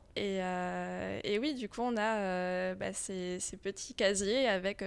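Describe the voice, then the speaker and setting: On a very clean recording with a silent background, a woman at medium pitch speaks at a very slow pace with fairly even intonation. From France. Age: 30s. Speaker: comics author. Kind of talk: interview. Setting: festival.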